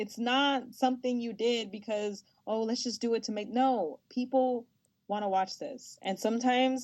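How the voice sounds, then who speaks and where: A woman with a fairly high pitch at a moderate pace. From Los Angeles, US. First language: Spanish. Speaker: sports broadcaster. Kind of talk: interview. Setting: podcast. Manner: animated.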